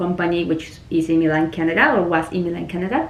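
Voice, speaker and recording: A woman speaks with a Spanish accent. Noticeable background noise and audible room echo surround her voice. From Venezuela. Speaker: immigration consultant, mock job candidate. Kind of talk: mock job interview.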